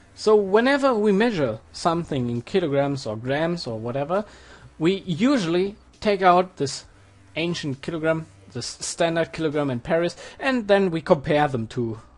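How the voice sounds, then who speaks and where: In a German accent, the speaker goes at a moderate pace. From Germany. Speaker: physics tutor. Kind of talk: tutorial. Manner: hesitant with fillers.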